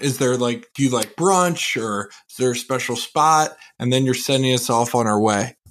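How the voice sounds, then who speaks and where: Here a man has an ordinary speaking voice at medium pitch, with ordinary pitch variation. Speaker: podcast co-host. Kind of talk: casual chat.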